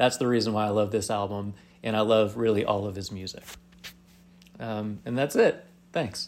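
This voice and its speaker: With an American accent, a man talks at a moderate pace and fairly even intonation. He leaves long, frequent pauses. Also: fairly low pitch for a man. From Southeast Michigan. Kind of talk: recorded reminiscence, casual.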